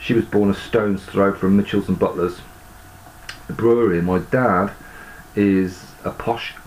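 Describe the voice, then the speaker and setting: A man's fairly low voice at a moderate pace, with fairly even intonation, very even loudness, long, frequent pauses and noticeable background noise. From Birmingham, West Midlands, England. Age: 50s. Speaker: YouTuber and amateur musician. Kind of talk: casual video monologue. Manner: rambling, hesitant with many ums.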